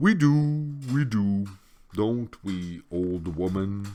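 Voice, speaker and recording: A wheezy, put-on character voice from a man, with a fairly low pitch at a very slow pace. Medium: read story. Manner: slow, muttering to herself.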